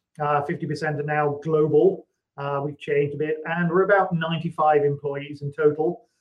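A man's fairly high-pitched voice in a flat monotone. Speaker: technology company CEO. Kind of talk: interview.

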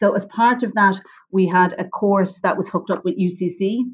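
A woman speaks with a Wexford Irish accent at a moderate pace. Her intonation stays fairly even. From Ireland, North County Wexford. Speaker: flower grower and entrepreneur. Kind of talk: interview.

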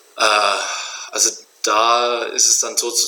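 Noticeable background noise sits behind this recording. A man speaks at a very slow pace. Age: 30s. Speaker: entrepreneur, trailer manufacturer. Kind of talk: interview.

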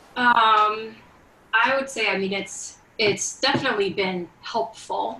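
With noticeable noise in the background, a woman's fairly high voice keeps a fairly even intonation. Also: fairly slow pace. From Venezuela. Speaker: church member. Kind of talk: testimony. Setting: video call.

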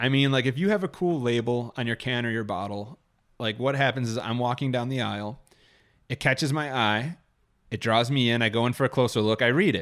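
Speaking fairly quickly in a plain, everyday voice, a man at medium pitch shows ordinary pitch variation in a very clean recording with a silent background. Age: 30s. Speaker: podcast host. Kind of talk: casual chat.

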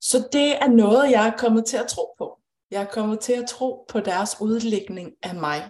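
A woman speaks at a fairly high pitch with ordinary pitch variation. Her voice is somewhat breathy. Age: 30s. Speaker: intuitive coach. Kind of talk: live-streamed conversation.

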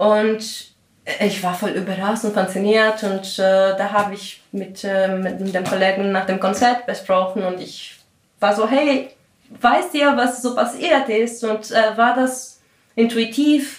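A woman speaks at a very slow pace with a fairly high pitch. Her pitch variation is ordinary. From Greece. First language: Greek (speaking German). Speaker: composer and podcast host. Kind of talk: interview.

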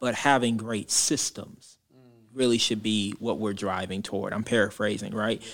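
On a very clean recording with a silent background, a man's fairly low voice, moderately paced with fairly even intonation: an unremarkable speaking voice. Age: 20s. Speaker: pastor. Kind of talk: casual chat.

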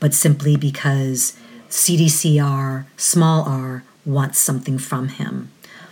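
A woman's somewhat breathy voice at a very deep, low pitch. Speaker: radio host. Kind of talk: community radio show. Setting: radio studio. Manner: halting, many fillers.

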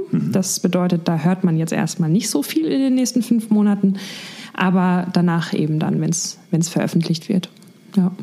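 Noticeable background noise sits behind a woman's voice. Her loudness stays very even, and her pitch varies in an ordinary way. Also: medium pitch for a woman, moderate pace. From Germany, Mainz area. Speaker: singer in a band. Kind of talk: casual interview.

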